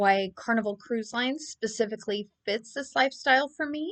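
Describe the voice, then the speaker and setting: A woman with a plain, everyday voice, fairly high in pitch, moderate in pace, ordinary in pitch variation, against a quiet background. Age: 30s. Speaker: travel vlogger. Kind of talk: monologue to camera.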